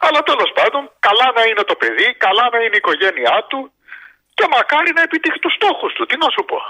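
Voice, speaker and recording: Swinging very widely in pitch, a man speaks at an extremely high pitch and a fairly quick pace. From Greece. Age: 60s. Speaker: caller, sports fan. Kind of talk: phone-in chat.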